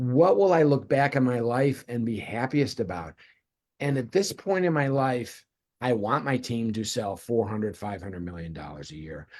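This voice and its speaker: A man with an American accent and a medium pitch talks at a fairly slow pace, his pitch swinging very widely. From US Midwest (Cleveland, Ohio). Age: 60s. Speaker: real estate team leader. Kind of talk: interview.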